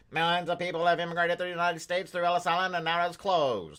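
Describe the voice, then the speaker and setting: A man's put-on character voice, nasal and high-pitched, very fast and monotone with flat intonation. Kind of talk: old-time broadcast news.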